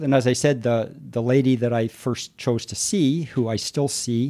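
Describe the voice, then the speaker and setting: Here a man speaks on a very clean recording with a silent background. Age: 60s. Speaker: married client of escorts, retired energy industry worker. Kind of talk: interview. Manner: hesitant with fillers.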